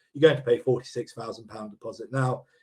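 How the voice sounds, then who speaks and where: This man's voice is somewhat breathy. It sits at a medium pitch. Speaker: property investment company director presenting webinar. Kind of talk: webinar presentation. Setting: online webinar. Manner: fast; hesitant, many fillers.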